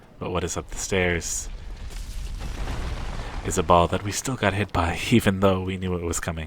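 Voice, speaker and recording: A man talks in a soft-spoken way. His intonation is monotone and flat. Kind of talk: ASMR gameplay commentary.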